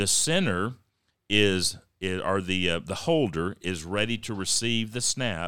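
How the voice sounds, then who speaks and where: With a Texan accent and a bright, sharp tone, a man with a fairly low voice speaks at a fairly slow pace with ordinary pitch variation on a very clean recording with a silent background. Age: 50s. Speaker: county judge and podcast host. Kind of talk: casual interview.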